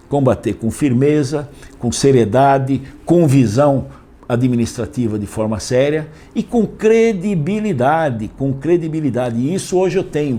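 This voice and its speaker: A man's medium-pitched voice with very wide pitch swings, fairly slow, over noticeable background noise. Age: 70s. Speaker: mayoral candidate. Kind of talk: interview. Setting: interview.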